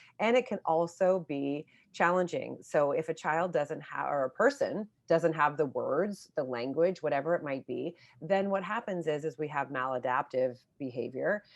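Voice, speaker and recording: Using lively intonation, a woman with an American accent speaks at a moderate pace in a very deep, low pitch. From California, Oakland. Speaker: speech language pathologist, author. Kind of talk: interview.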